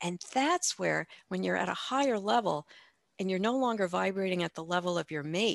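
Against a quiet background, a woman speaks at a moderate pace. Her fairly low pitch comes with lively intonation. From US Midwest. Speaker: life coach and breast cancer survivor. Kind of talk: podcast interview. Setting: remote call.

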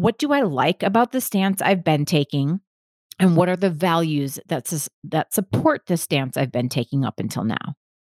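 With an American accent and a fairly low pitch, a woman speaks at a moderate pace with very wide pitch swings, in a dry, close sound with no echo. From US Midwest, Milwaukee, Wisconsin. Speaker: podcast host, gaslighting specialist. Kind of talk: solo podcast monologue.

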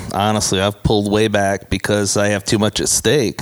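Noticeable background noise sits behind a man talking with an American accent. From US Midwest. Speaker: recording engineer. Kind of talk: casual interview. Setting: recording studio.

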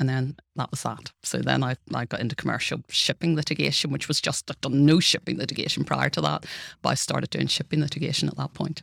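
Speaking at a very fast pace with hardly any pauses, a woman with a Northern Irish accent is heard in a dry, close sound with no echo. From Northern Ireland. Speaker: law professor. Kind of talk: interview.

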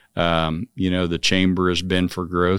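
A man speaks in a Midwestern American accent at a very deep, low pitch with monotone, flat intonation. The sound is dry and close with no echo, in a very clean recording with a silent background. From Manhattan, Kansas. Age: 60s. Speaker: construction company chairman. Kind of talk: casual interview.

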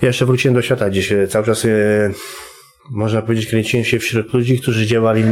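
A man speaks at a fairly quick pace and medium pitch in a monotone, flat way. Noticeable background noise runs underneath. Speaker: former prisoner and recovering addict sharing a conversion story. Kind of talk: testimony. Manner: halting, with many repetitions.

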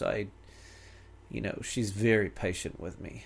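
With a New Zealand accent, a man of fairly low pitch speaks at a fairly quick pace using fairly even intonation. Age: 50s. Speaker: father of five. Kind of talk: casual chat.

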